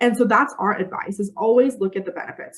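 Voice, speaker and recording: Speaking at a very fast pace, a woman keeps ordinary pitch variation. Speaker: recruiter and company founder. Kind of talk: webinar presentation.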